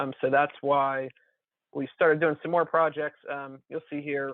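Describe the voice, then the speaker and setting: Flat, monotone intonation marks this man's speech. His pitch sits fairly high. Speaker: watershed conservation staff. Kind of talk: presentation on video call. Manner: fast.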